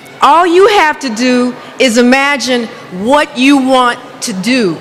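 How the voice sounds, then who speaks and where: A woman's high-pitched voice at a very slow pace, with ordinary pitch variation, audible room echo and noticeable background noise. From United States. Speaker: hair expert and speaker. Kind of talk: motivational conference talk. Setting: stage with audience, interpreted. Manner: halting in French.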